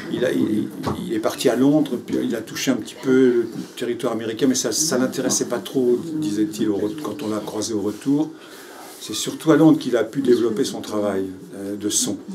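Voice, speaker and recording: A man with a medium pitch and ordinary pitch variation talks at a moderate pace, with noticeable background noise and audible room echo around him. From Paris, Belleville. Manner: halting, with many repetitions.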